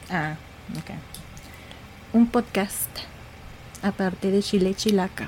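A woman's somewhat breathy, medium-pitched voice, very slow and fairly even, broken by long, frequent pauses. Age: 30s. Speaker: podcast host, architect. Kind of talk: casual chat.

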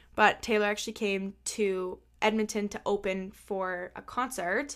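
Flat, monotone intonation comes through on a very clean recording with a silent background. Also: woman. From Canada. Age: 20s. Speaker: podcast host. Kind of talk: casual chat.

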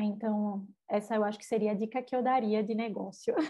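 Somewhat breathy and in a northeastern Brazilian accent, the voice moves at a fairly quick pace with a monotone, flat intonation. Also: woman. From Brazil, Recife. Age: 20s. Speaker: edtech sales executive. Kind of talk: interview.

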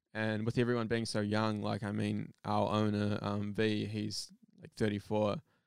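A man's fairly low voice with a New Zealand accent and monotone, flat intonation. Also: moderate pace. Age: 20s. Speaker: photographer and videographer. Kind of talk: casual chat.

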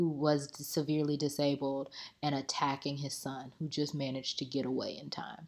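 With an American accent, this animated voice moves at a moderate pace in a very clean recording over a silent background. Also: woman. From Central Florida (Tampa). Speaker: podcast host. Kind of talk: casual monologue.

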